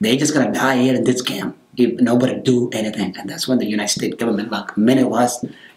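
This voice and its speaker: Noticeable background noise is present. A man speaks over it at a medium pitch. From South Sudan. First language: South Sudanese language. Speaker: program director, former refugee. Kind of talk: interview. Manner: halting.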